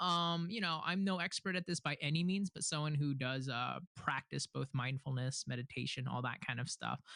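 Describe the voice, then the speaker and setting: Against a quiet background, a man with a bright, sharp tone and fairly high pitch talks with hardly any pauses, the sound dry and close with no echo. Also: ordinary pitch variation, moderate pace. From US Northeast, Philadelphia. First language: Korean. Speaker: podcast guest. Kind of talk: casual chat.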